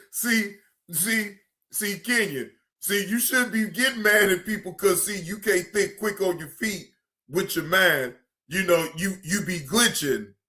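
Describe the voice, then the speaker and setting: In an American accent, a man speaks with a raised, projected voice at a fairly slow pace, high in pitch with ordinary pitch variation. His tone is animated, bright and sharp. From Cleveland, Ohio. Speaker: streamer and commentator. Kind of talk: casual live stream commentary. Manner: animated, repetitive.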